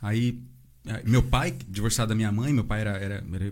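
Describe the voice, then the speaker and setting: A man's voice comes through somewhat breathy, at a fairly quick pace. There is audible room echo. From Santa Isabel, São Paulo state, Brazil. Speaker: construction worker, churchgoer. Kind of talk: casual chat.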